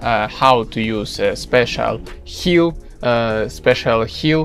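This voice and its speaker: A man speaks at a very slow pace with ordinary pitch variation. Faint music plays in the background. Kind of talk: casual vlog chat. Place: boat. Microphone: phone near.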